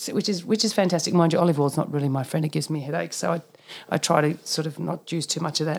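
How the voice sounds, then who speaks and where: A woman speaks very fast with an Australian accent. Her pitch is very deep and low. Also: fairly even intonation. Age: 50s. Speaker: naturopath. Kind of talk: casual chat.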